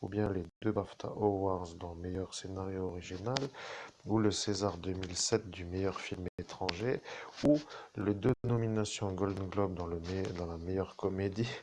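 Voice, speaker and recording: A very deep, low male voice at a fairly slow pace, with fairly even intonation. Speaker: self-styled medium. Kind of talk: live monologue to viewers. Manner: soft-spoken, slow; halting, restarting sentences.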